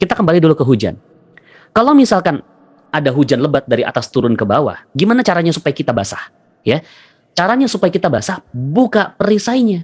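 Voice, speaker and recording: Very fast and very even in loudness, a man's high-pitched voice makes very wide pitch swings. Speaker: motivational religious speaker. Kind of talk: motivational seminar talk. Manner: repetitive, call-and-response. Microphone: voice reportedly quiet for some listeners.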